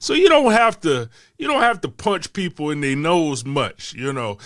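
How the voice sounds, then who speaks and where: A man's bright, sharp voice with lively intonation at a moderate pace, on a very clean recording with a silent background. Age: 50s. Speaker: storyteller. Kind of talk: personal storytelling. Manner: casual, conversational.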